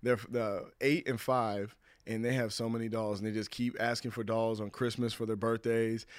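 A man at medium pitch talks in a monotone, flat intonation over a very clean recording with a silent background. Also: moderate pace. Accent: American. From US West Coast (California and Washington). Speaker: former pro football player. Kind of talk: casual interview chat.

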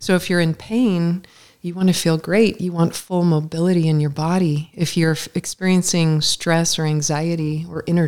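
Here a woman talks with a fairly low pitch. Her pitch variation is ordinary, and her pace is moderate. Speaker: psychological kinesiologist. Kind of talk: interview, explaining her work conversationally.

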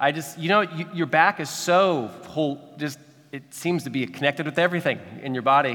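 A man speaks with a Midwestern American accent at a fairly quick pace. His pitch sits fairly high. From Kansas City, Missouri. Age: 40s. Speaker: pastor. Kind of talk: sermon. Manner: halting, frequent repetitions.

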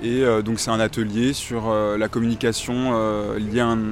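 A man speaks at a medium pitch with monotone, flat intonation. Noticeable background noise is present. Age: 20s. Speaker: student. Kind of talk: street interview.

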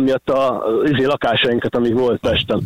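A man is heard in a dry, close sound with no echo at all. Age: 40s. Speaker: food delivery courier, radio caller. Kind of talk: personal story on a radio call-in. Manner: halting.

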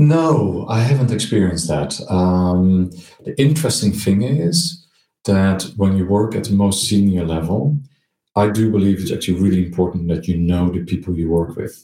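In a Dutch accent, a man with a very deep, low pitch and a dark, mellow tone speaks at a moderate pace with lively intonation. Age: 50s. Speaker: marketing executive. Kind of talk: interview.

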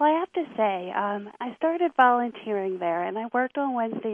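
In an unremarkable speaking voice, a woman talks at a fairly quick pace with a fairly high pitch and lively intonation. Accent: American. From rural Lancaster County, Pennsylvania, US. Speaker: equine therapy researcher and adjunct professor. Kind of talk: radio interview.

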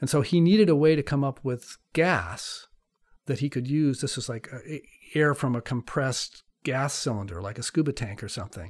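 With an American accent, a man speaks in a fairly high, somewhat breathy voice with lively intonation. He keeps a moderate pace, and the recording is very clean with a silent background. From US West Coast (California). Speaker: climate scientist, professor. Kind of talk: interview, explanatory.

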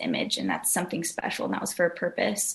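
A woman's fairly low voice in a Californian accent, over noticeable background noise. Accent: Californian American. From Southern California. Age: 20s. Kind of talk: casual chat.

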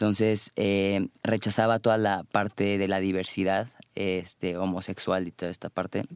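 A man speaks fairly slowly at a fairly low pitch with monotone, flat intonation, in a very clean recording with a silent background and a dry, close sound with no echo. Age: 20s. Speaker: life coach. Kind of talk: interview.

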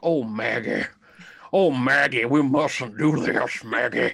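A put-on character voice sits at a low-to-middle pitch. It moves at a very slow pace. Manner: earnest, pleading.

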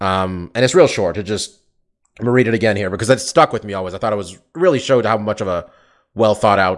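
Against a quiet background, a man with a fairly low pitch talks at a very fast pace. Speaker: MMA podcast host. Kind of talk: casual chat. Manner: fast talker.

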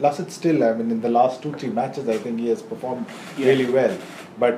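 Through noticeable background noise, a medium-pitched man talks with ordinary pitch variation. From India. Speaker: cricket journalist. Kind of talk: casual chat.

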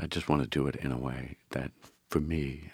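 Very deep and low in pitch, a man speaks with an American accent, vocal fry and fairly even intonation. The sound is dry and close, with no echo. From Philadelphia, Frankford. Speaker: immigration attorney and political candidate. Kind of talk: interview.

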